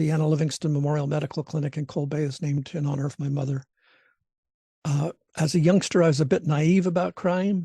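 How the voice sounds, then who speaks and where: At a very fast pace, a man with a fairly high pitch and a dark, mellow tone speaks somewhat breathily with fairly even intonation, the sound dry and close with no echo. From Alaska (Alaska Peninsula). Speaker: trainer / lecturer. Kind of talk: online training lecture. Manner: halting, many fillers.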